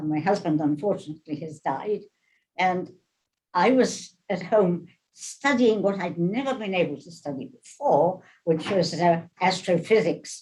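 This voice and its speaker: A woman speaks fairly slowly at a fairly low pitch, somewhat breathy. Her intonation is lively and her loudness swings widely. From England. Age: 90s. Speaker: retired ballet dancer, resident. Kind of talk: interview testimony.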